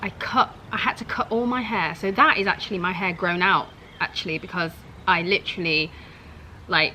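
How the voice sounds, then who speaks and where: A woman with a southern English accent, medium pitch and ordinary pitch variation at a moderate pace, with noticeable background noise. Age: 30s. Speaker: YouTuber. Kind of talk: casual reaction vlog. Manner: animated.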